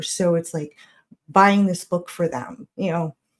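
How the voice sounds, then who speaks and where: Somewhat breathy, a woman speaks at a fairly low pitch. Her pace is fairly slow, with ordinary pitch variation. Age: 40s. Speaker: caller. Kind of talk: casual chat.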